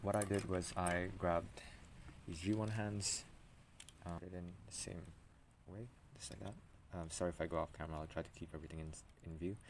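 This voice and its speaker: With light background noise behind him, a man speaks at a very deep, low pitch. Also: ordinary pitch variation. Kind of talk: casual tutorial ramble. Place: street. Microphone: phone near.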